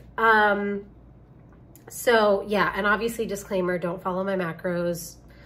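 The woman talks at a fairly slow pace with monotone, flat intonation. Audible room echo surrounds her voice. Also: medium pitch for a woman. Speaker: personal trainer and fitness vlogger. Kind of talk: casual vlog. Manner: casual, filler-heavy.

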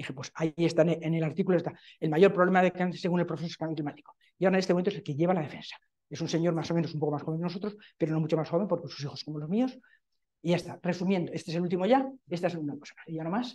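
Very fast pace against a quiet background. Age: 70s. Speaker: professor. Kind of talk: conference talk. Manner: animated. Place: meeting room.

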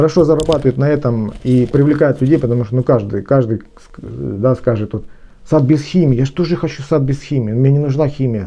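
A man talks at a moderate pace, with ordinary variation in his pitch. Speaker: gardener and garden blogger; garden blogger. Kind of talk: lecture-style tutorial on gardening. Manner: formal, explanatory, with some hesitations. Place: home room. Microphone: phone near.

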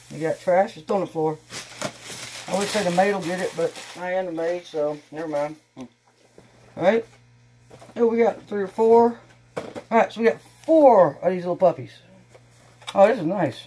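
With an American accent, the speaker keeps a moderate pace, leaving long, frequent pauses over light background noise. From Texas. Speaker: YouTuber doing unboxing videos. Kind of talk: casual unboxing vlog. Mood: cheerful, excited. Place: home room. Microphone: camera far.

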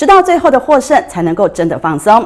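A woman's voice swings very widely in pitch. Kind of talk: news reading. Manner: formal, even and brisk, broadcast-style delivery.

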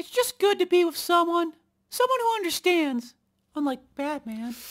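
The voice is extremely high-pitched. It moves at a moderate pace. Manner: crude, boastful, sneering.

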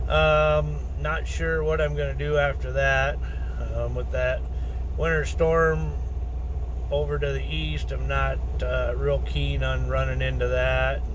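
A man speaks with a very deep, low pitch and monotone, flat intonation. Long, frequent pauses break his speech, and there is noticeable background noise. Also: fairly slow pace. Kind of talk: casual vlog chat. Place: car. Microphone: phone near.

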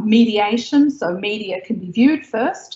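Speaking with an Australian accent and ordinary pitch variation, a woman is heard with audible room echo. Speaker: tech company founder. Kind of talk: interview. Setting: video call. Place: home room. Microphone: video call.

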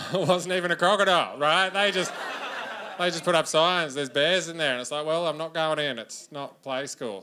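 Light background noise sits behind a man speaking with an Australian accent. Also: ordinary pitch variation. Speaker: stand-up comedian. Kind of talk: stand-up comedy set. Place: stage. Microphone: handheld.

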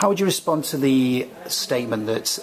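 This man's voice has ordinary pitch variation. Noticeable background noise runs behind him. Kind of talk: academic interview. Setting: recorded at a conference.

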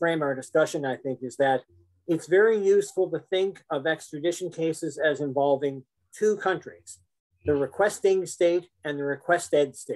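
A man speaks in a plain, everyday voice at a moderate pace. His pitch is fairly high, with ordinary variation. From Canada. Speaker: law professor. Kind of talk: lecture. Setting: video call.

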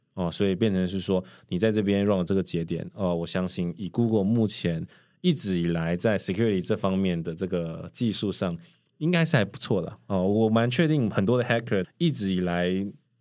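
A man with an unremarkable speaking voice, fairly low in pitch with ordinary pitch variation, at a moderate pace on a very clean recording with a silent background. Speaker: cloud solutions architect. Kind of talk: casual interview chat.

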